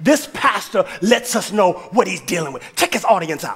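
A man's animated voice at a moderate pace, with music in the background. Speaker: pastor. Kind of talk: sermon. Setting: church with congregation. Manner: animated, exhorting the congregation; conversational, preacherly call-and-response. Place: church. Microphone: headset.

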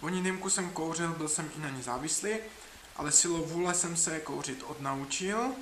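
Pitched high, a man talks at a moderate pace with ordinary pitch variation. Audible room echo and noticeable background noise fill the recording. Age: 30s. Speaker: writer and traveler vlogger. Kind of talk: dating self-presentation video; travel video narration.

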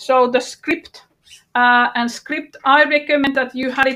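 A woman speaks in a raised, projected voice with a bright, sharp tone. Her intonation is monotone and flat, and her pace is fairly slow. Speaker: workshop trainer. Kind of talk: online workshop tutorial. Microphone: video call.

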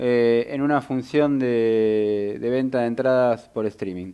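Speaking very slowly with a Rioplatense accent, a man is heard against a quiet background. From Argentina. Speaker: radio host. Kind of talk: radio talk show. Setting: radio studio. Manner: halting, many fillers. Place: studio. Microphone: studio mic.

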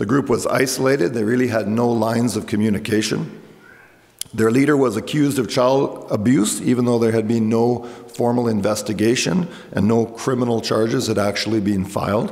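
A man's medium-pitched voice at a moderate pace, fairly even in intonation, over noticeable background noise. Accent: Canadian. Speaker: pastor. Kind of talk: sermon. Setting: church.

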